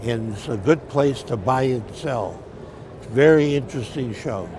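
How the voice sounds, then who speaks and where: Amid noticeable background noise and audible room echo, a man speaks at medium pitch and moderate pace with ordinary pitch variation. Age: 80s+. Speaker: coin dealer. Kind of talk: interview.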